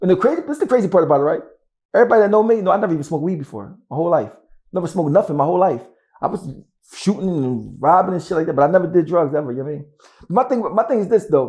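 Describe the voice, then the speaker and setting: A man's high-pitched voice at a very fast pace, with lively intonation. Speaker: rapper. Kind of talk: interview.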